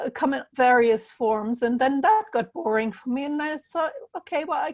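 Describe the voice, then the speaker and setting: With a German accent, a woman speaks at a moderate pace. Her high voice carries lively intonation. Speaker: healer and puzzle author. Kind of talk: interview. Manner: halting.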